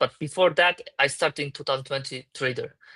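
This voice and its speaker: A man with a Turkish accent and a bright, sharp tone speaks at a fairly quick pace, the sound dry and close with no echo over a quiet background. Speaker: crypto startup founder. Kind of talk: interview. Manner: halting.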